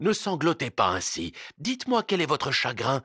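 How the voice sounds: A natural voice is used to read the text.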